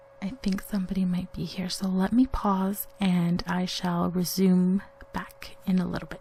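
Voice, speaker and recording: A woman with a medium pitch and fairly even intonation talks over noticeable background noise. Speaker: vlogger. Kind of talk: casual vlog talk. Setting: home basement. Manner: hesitant, many fillers.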